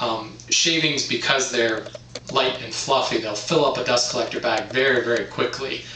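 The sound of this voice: A man talks at a moderate pace with a bright, sharp tone. Room echo is audible.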